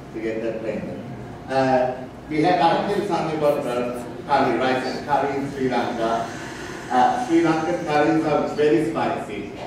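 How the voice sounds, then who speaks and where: Strong room echo and noticeable background noise surround the speaker. A man talks at a fairly slow pace. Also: ordinary pitch variation. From Sri Lanka. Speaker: chef. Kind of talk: cooking demonstration. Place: stage.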